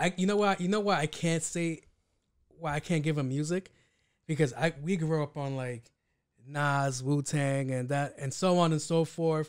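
On a very clean recording with a silent background, a man with a fairly high pitch speaks at a moderate pace with ordinary pitch variation. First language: Spanish. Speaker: podcast co-host. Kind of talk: casual chat.

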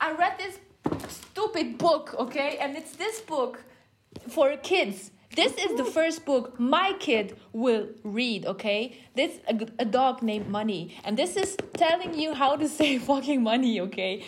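A woman with a high pitch speaks in an animated tone. Her pace is fairly slow, with very wide pitch swings. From Luxembourg. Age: 20s. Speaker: entrepreneur. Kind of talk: casual chat. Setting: video call.

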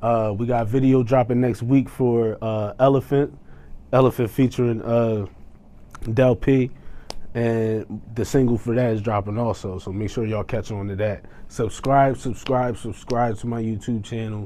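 With fairly even intonation, a man speaks in a normal speaking voice at medium pitch. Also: moderate pace. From New Jersey. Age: 30s. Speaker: rapper. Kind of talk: casual interview; self-promotion. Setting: studio.

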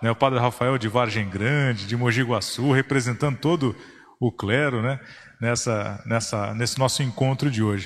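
Speaking at a moderate pace, a man with a normal speaking voice holds a medium pitch and fairly even intonation. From Brazil, São Paulo state interior. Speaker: podcast host. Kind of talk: podcast hosting.

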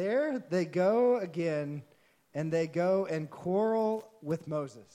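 Lively intonation marks a man's high-pitched voice with a dark, mellow tone. He speaks in a Texan accent at a very slow pace. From Texas. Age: 30s. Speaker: pastor. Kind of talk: sermon.

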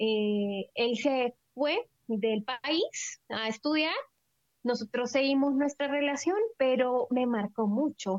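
In a dry, close sound with no echo, a woman with a high pitch speaks at a very slow pace, her loudness very even and her pitch varying in an ordinary way. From El Salvador. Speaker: missionary and physiotherapist. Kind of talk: interview testimony.

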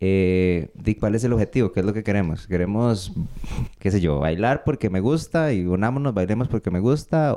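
In a Costa Rican accent, a man speaks at a moderate pace with a fairly low pitch, a dark, mellow tone and ordinary pitch variation. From Costa Rica, Paraíso de Cartago. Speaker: folk dance director and dancer. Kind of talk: casual interview.

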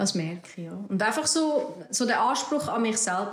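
A woman is speaking. She has a Swiss accent. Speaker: entrepreneur, cosmetics founder. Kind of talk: interview.

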